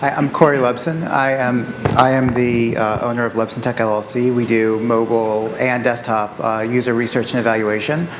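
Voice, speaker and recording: Over noticeable background noise and audible room echo, a quiet man speaks with hardly any pauses, at a medium pitch and with fairly even intonation. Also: moderate pace. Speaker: usability consultant. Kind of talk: panel self-introduction. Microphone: too quiet, mic adjusted.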